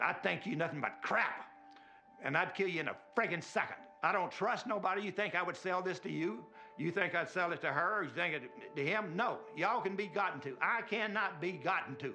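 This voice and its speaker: Music plays in the background as a man with a Southern US accent and a high pitch talks at a fairly quick pace amid audible room echo. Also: ordinary pitch variation. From US South, Mississippi. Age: 70s. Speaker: inventor. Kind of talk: demonstration talk. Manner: forceful.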